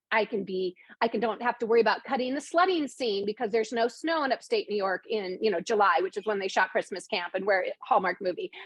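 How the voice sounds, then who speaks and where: A woman talks at a fairly quick pace in an animated tone with very wide pitch swings. Noticeable background noise is present. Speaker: screenwriter and novelist. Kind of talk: casual chat. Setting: video call. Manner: fast.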